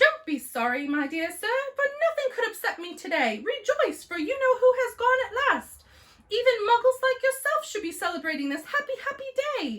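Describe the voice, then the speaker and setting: A woman's put-on character voice, squeaky and extremely high-pitched, raised and projected, with very wide pitch swings at a moderate pace. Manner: delighted, joyful.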